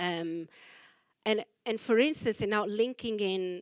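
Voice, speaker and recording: With lively intonation, a woman speaks in a Portuguese accent. The sound is dry and close, with no echo. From Portugal. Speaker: choreographer. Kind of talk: artist talk interview. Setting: library talk with audience.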